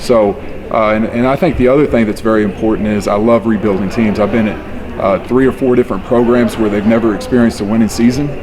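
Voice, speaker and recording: A man with an American accent at medium pitch, very fast with hardly any pauses and fairly even intonation, amid audible room echo and noticeable background noise. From West Texas, Panhandle. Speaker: high school football coach. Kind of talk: interview.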